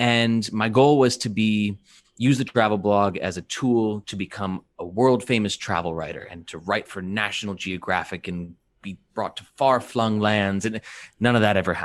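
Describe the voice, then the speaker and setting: A man with an ordinary speaking voice and an American accent talks at a moderate pace in a fairly low pitch, with ordinary pitch variation and big swings in loudness, on a very clean recording with a silent background. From United States. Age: 30s. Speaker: podcast co-host, digital marketer. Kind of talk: casual chat.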